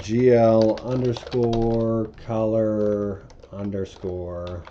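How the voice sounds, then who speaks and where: Very slowly, a man speaks in a fairly low pitch. Audible room echo and noticeable background noise come through in the recording. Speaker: programming tutorial creator. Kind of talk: coding tutorial.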